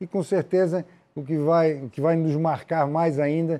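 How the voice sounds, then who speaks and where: This man's voice has a dark, mellow tone. He talks at a moderate pace with fairly even intonation. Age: old. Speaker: football club executive; guest. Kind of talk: interview. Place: studio. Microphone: lapel.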